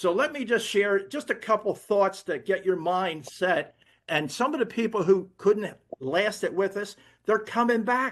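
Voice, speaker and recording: Against a quiet background, a man with an American accent speaks in a high pitch. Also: ordinary pitch variation, fairly slow pace. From Philadelphia, US. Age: 80s+. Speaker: network marketing distributor. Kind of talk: sales pitch. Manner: animated.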